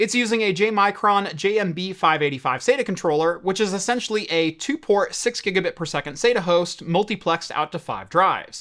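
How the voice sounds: With a fairly bright tone and lively intonation, a man talks fast-ish and high-pitched, leaving few pauses.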